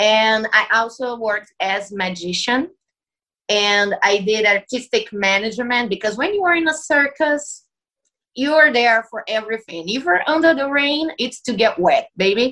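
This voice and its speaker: Lively intonation and a bright, sharp tone mark a woman speaking at a moderate pace with a fairly high pitch in a Portuguese accent. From Brazil. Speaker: circus performer. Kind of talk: casual interview.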